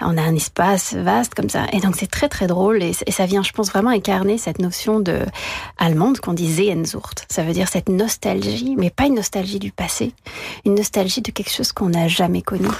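Noticeable background noise runs beneath a woman who talks at a fairly quick pace. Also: medium pitch for a woman, ordinary pitch variation. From France. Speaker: violinist. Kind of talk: radio interview.

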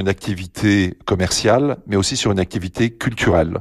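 The man's delivery moves at a fairly slow pace. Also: quiet background. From eastern France, Lunéville. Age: 60s. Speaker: company president. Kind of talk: radio interview. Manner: hesitant, many fillers.

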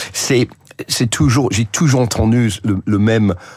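A man speaks very slowly in a fairly low pitch. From England. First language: English (speaking French). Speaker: journalist. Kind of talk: radio interview. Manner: hesitant, frequent fillers and repetitions.

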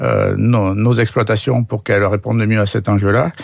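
At a fairly slow pace, a man with a southern French accent speaks at a fairly low pitch. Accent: southern French (Aveyron). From southern France, Aveyron. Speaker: dairy farmer and cooperative president. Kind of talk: radio interview. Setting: radio studio. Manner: hesitant, frequent repetitions.

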